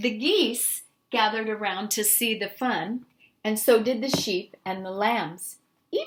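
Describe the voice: A quiet background behind plain reading aloud.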